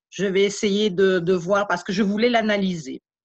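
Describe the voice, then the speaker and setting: A somewhat breathy woman at a fairly slow pace. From Belgium, Liège. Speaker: beekeeper, contest winner. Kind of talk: thank-you speech at online event.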